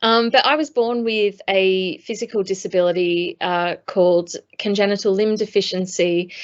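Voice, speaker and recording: In an Australian accent, a woman with a medium pitch talks at a moderate pace with fairly even intonation. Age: 40s. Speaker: former Paralympic athlete, speaker. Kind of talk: conference talk. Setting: video call. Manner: hesitant, many fillers.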